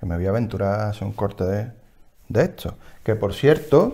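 Over a quiet background, a man talks with an Andalusian accent and lively intonation. His tone is dark and mellow, his pitch fairly low. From Seville, Andalusia. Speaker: knitting podcast co-host; podcast co-host. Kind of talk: casual chat. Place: home room. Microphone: lapel.

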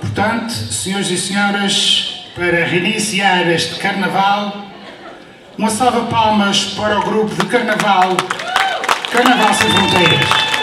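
Over crowd noise and audible room echo, a man speaks at a fairly slow pace in a raised, projected voice with fairly even intonation. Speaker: event host, announcer. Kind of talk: stage announcement. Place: hall.

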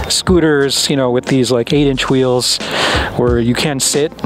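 At a moderate pace, a man talks over noticeable background noise in a dry sound with no echo. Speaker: product reviewer. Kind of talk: product review talk to camera. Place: street.

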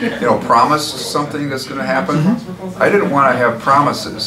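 A man's fairly quick speech competes with noticeable background noise. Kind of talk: interview answer. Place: hall.

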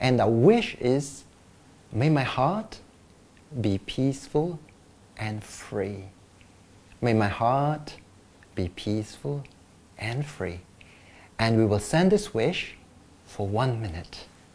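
The speaker is soft-spoken, with a gentle, soothing tone and lively intonation. The pace is very slow, with long, frequent pauses. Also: man. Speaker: meditation teacher. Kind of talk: guided meditation, gentle instructions with pauses. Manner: calm, slow, soft-spoken. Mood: warm, smiling. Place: office. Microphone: lapel.

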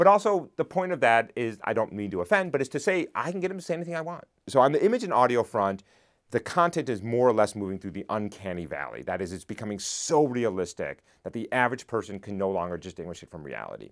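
Very fast pace and very wide pitch swings against a quiet background. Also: man. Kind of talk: interview answer. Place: studio. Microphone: lapel.

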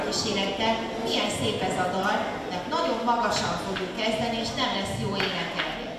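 Loud background noise runs under the speech, and the room echo is audible. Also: woman, moderate pace. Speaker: music teacher leading children's concert. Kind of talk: children's concert presentation. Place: hall.

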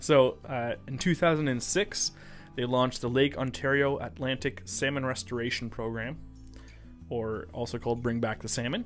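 With faint music in the background, a man speaks at a moderate pace, his loudness swinging widely. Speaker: podcast host. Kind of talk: podcast conversation, reading facts. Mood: light, laughing. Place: studio. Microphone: studio mic.

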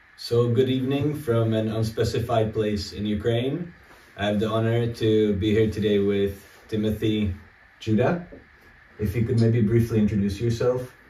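A man speaks at a medium pitch and a moderate pace, his voice somewhat breathy with fairly even intonation. Audible room echo surrounds the recording. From Czech Republic. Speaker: political analyst; interviewer, analyst. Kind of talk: interview. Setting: abandoned house in war zone. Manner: halting. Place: home room.

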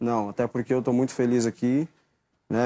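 The tone is dark and mellow, captured in a very clean recording over a silent background. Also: man. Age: 20s. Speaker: footballer. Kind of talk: press interview.

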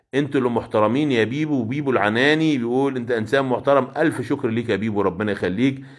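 An animated male voice with an Egyptian accent, ordinary pitch variation and a quiet background. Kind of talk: live sales stream. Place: shop. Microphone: phone near.

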